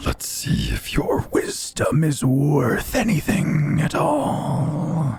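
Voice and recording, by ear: Using a put-on character voice, a man at a fairly high pitch speaks at a very slow pace against clear background noise.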